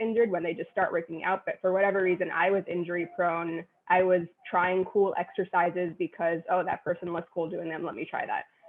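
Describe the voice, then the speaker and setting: A woman speaks at a fairly quick pace with an American accent and a medium pitch. She has an ordinary speaking voice. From New York City, Queens. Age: 30s. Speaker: personal trainer. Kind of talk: interview.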